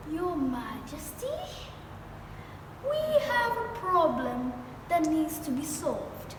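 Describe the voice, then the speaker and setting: A woman's put-on character voice at a fairly slow pace, with clear echo and loud background noise. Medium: solo performance. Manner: deferential.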